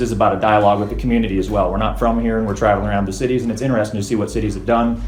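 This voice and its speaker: A man's fairly low-pitched voice, with audible room echo and noticeable background noise. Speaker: street artist and protester. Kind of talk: heated debate. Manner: animated; loud.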